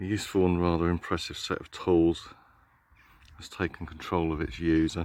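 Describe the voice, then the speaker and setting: Monotone and flat, a man with a very deep, low pitch talks at a moderate pace. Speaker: earth energy walker. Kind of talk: casual talk to camera while walking. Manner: reflective, hesitant.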